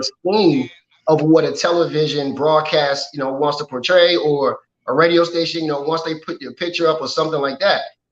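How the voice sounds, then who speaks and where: Talking at a fairly quick pace, a man with an American accent has a fairly high pitch and a plain, everyday voice. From Washington, D.C. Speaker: model and clothing designer. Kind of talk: interview.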